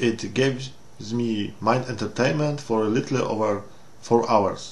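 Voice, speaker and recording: A somewhat breathy man's voice with a Polish accent, medium pitch and ordinary pitch variation, with audible room echo. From Poland. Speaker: game reviewer. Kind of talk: game review walkthrough. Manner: halting non-native English.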